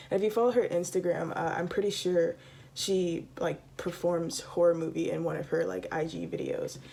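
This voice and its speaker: There is noticeable background noise. A woman with an American accent talks at a moderate pace. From US. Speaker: book reviewer. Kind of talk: casual review vlog. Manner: hesitant, many fillers.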